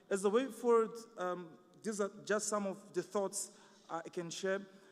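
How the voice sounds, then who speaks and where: A speaker with a non-native accent talks at a moderate pace with fairly even intonation. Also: man, high pitch for a man. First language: not English. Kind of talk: conference presentation. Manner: halting, many fillers.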